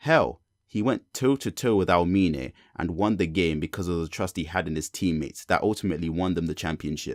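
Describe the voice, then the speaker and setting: With a British accent, a man speaks at a moderate pace in a very deep, low pitch with ordinary pitch variation, the sound dry and close with no echo on a very clean recording with a silent background. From Britain. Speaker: youtuber, sports and anime commentator. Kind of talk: scripted commentary video. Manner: casual.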